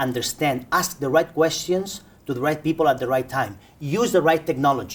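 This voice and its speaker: A man speaks in a somewhat breathy voice at a fairly high pitch. His pace is moderate and his pitch variation ordinary. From Spain. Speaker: cyber-security expert. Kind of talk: interview. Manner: animated; repetitive restarts.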